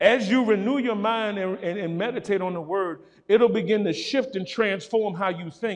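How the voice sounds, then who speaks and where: Against a quiet background, a man with a high voice speaks in an animated tone at a moderate pace. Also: ordinary pitch variation. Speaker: pastor. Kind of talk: sermon. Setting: church. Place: church.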